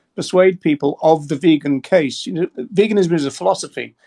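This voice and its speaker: With an English accent, a man speaks at a fairly quick pace and ordinary pitch variation, the sound dry and close with no echo. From England. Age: 60s. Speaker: animal rights advocate. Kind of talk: debate with a TikTok caller. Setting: TikTok live video call. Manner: halting, many repetitions.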